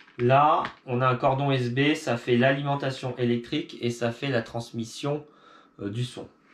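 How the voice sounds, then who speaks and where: The speech moves at a fairly slow pace with a monotone, flat intonation. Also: man, medium pitch for a man. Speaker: video creator. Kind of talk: tutorial.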